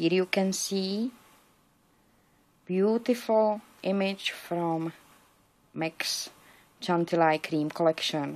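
A woman mumbles at a very slow pace with a non-native accent, ordinary pitch variation, and long, frequent pauses. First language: not English. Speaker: paper crafter. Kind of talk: crafting tutorial; casual tutorial show-and-tell. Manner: mumbling; halting. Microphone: phone near.

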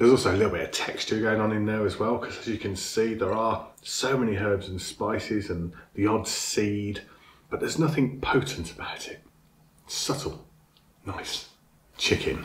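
A man speaks somewhat breathily at a moderate pace, his pitch fairly low. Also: ordinary pitch variation. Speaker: food reviewer. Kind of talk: casual food review. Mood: enthusiastic, pleased. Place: home room.

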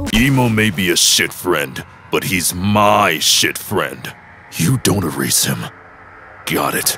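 A man's raspy put-on character voice, very deep and low, at a fairly slow pace over clear background noise. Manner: blunt, dry.

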